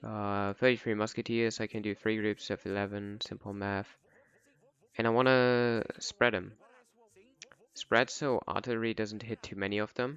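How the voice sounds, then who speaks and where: Using a monotone, flat intonation, a man with a non-native accent speaks at a moderate pace with a fairly low pitch and long, frequent pauses. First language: not English. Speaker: gaming content creator. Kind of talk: tutorial. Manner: casual.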